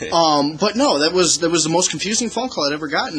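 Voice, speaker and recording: A man speaks very fast with lively intonation. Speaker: podcast co-host. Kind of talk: casual chat. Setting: outdoors. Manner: rambling, halting.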